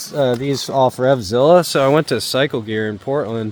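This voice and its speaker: Against noticeable background noise, a man talks at a moderate pace and a medium pitch, with ordinary pitch variation. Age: 40s. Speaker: motorcycle travel vlogger. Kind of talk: casual vlog talk. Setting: outdoors. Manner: casual, filler-heavy.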